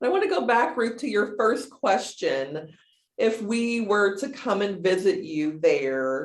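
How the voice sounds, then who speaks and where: At a very slow pace, a woman speaks with very wide pitch swings. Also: medium pitch for a woman. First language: American Sign Language. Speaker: deaf case manager. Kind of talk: casual chat.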